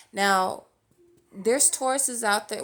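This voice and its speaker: The speaker is a woman with a medium pitch. She talks fairly slowly. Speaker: tarot reader. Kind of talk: tarot reading monologue. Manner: filler-heavy, repeats okay.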